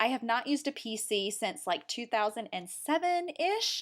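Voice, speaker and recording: The delivery has an animated tone and lively intonation at a moderate pace. The recording is very clean, with a silent background. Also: woman. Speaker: web design tutorial creator. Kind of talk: tutorial.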